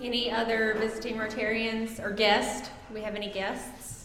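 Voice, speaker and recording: A woman talks at a fairly slow pace in a fairly high voice. Noticeable background noise and audible room echo surround her. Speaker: club meeting presider. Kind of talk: meeting chairing. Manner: loud.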